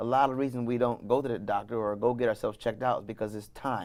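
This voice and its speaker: In a very clean recording with a silent background, a man talks very fast at medium pitch with ordinary pitch variation. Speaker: wellness business founder. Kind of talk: interview.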